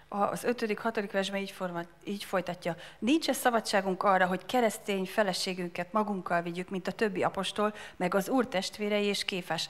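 Speaking at a very fast pace, a woman holds a medium pitch with fairly even intonation. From Hungary. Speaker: interpreter. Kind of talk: sermon interpreting. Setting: church. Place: church. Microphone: handheld.

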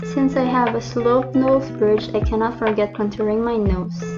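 A woman talks at a moderate pace over music in the background. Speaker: beauty vlogger. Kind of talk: makeup tutorial narration.

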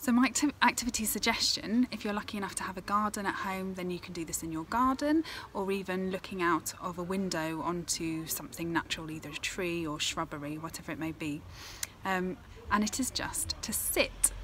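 Light background noise sits behind a woman speaking at a fairly quick pace. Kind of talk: tutorial. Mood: calm, gentle. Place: garden. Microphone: phone near.

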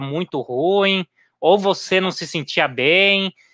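A man's bright, sharp tone with ordinary pitch variation, dry with no echo, over a quiet background. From Brazil. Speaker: running channel host; live-stream host interviewer. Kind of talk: casual chat. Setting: at home in kitchen. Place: home room. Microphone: headset.

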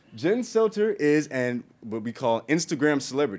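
An animated voice whose pitch leaps and plunges across a very wide range. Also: man. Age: 20s. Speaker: YouTube science host. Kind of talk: conference presentation. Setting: stage with audience. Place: meeting room.

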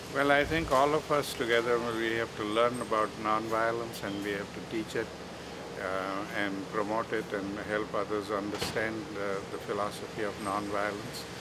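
There's loud noise in the background. Through it, a man keeps a moderate pace. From India. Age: 70s. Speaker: peace activist. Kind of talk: interview answer. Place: garden.

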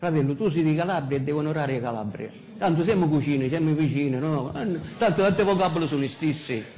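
A man with a Sicilian accent at a very fast pace, light background noise behind him. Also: ordinary pitch variation. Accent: Sicilian Italian, uses dialect. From Sicily. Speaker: pastor. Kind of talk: sermon. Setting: church pulpit. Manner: halting, many fillers. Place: church.

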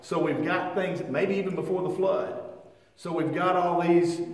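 A high-pitched man with fairly even intonation and audible room echo. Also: moderate pace. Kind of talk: Bible class lecture. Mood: relaxed, lightly humorous. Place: church. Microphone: camera far.

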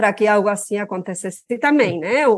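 The speaker talks with a Spanish accent and very wide pitch swings against a quiet background. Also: woman. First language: Spanish (speaking Portuguese). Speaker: political scientist. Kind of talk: interview. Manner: halting.

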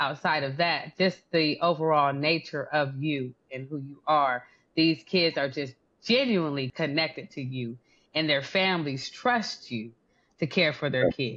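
A woman with a warm tone and a very deep, low pitch speaks at a moderate pace with ordinary pitch variation. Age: 40s. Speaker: podcast host and interviewer; podcast host, interviewer. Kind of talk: interview. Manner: warm and effusive. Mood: warm, admiring. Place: home room. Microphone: video call.

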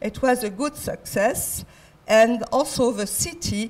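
A woman speaks with a French accent at a fairly slow pace, her voice somewhat breathy. Her pitch is fairly high and varies in an ordinary way. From France. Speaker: design centre international affairs head; conference speaker. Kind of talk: conference talk. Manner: halting. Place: hall. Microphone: handheld.

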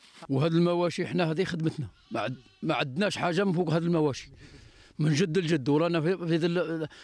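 A man talks at a fairly quick pace in a high voice for a man, with fairly even intonation. The sound is dry, with no echo. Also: very even loudness. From Algeria. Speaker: livestock herder. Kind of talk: interview. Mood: worried, complaining about drought. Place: farm. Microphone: handheld.

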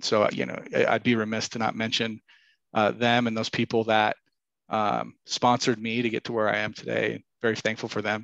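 A man with an American accent, medium pitch and monotone, flat intonation at a moderate pace, dry sound with no echo and a quiet background. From Idaho, US. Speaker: commercial real estate broker and business owner; podcast guest. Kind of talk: interview. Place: home room. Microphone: headset.

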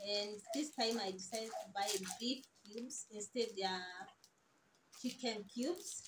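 Speaking at a fairly slow pace, a woman has a medium pitch, a slightly husky edge and ordinary pitch variation.

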